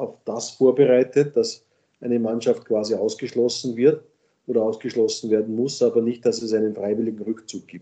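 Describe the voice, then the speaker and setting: The man's voice is medium in pitch with a dark, mellow tone. His intonation stays monotone and flat. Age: 50s. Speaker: sports league executive. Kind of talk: interview. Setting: remote call from home office.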